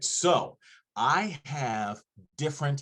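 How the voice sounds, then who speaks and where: A man speaks with vocal fry, his pitch swinging very widely. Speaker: panel expert on critical race theory. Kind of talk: educational panel discussion.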